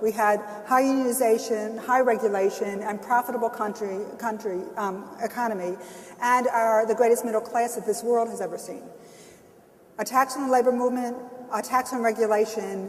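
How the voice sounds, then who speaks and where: Fairly quick, monotone, flat speech over noticeable background noise. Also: woman, fairly high pitch for a woman. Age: 60s. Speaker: labor union leader. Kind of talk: panel discussion. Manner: halting.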